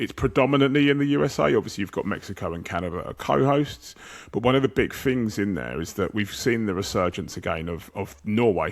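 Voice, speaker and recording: Speaking in an English accent at a fairly quick pace, a man uses a fairly low pitch with very wide pitch swings in a very clean recording over a silent background. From England. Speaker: football podcast host. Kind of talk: casual chat.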